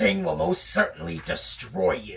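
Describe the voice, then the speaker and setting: A man's growling, put-on character voice at a moderate pace. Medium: read story. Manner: steely determination.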